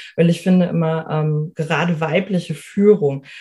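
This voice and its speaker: A woman's very deep, low voice, somewhat breathy and dark and mellow in tone, with fairly even intonation. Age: 30s. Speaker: life coach. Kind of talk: interview.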